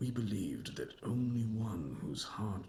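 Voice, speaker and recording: A man uses a put-on character voice at a fairly slow pace. Clear background noise runs underneath. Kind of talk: video game dialogue. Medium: video game. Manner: solemn, measured.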